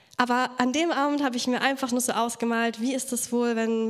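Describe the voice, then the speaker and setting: Moderate-paced speech from a woman pitched fairly high, amid noticeable background noise. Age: 20s. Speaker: youth church speaker. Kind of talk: sermon.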